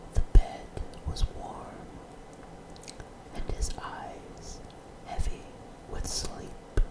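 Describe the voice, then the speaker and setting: A man whispers at a very slow pace with long, frequent pauses and big swings in loudness over noticeable background noise. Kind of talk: ASMR whispered story reading. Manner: whispered.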